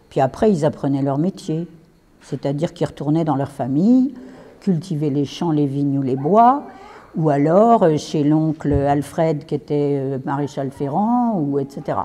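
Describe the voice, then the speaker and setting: A woman with a very deep, low pitch and lively intonation speaks over noticeable background noise. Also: fairly slow pace. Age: 70s. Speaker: retired teacher giving a talk. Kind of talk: lecture. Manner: conversational.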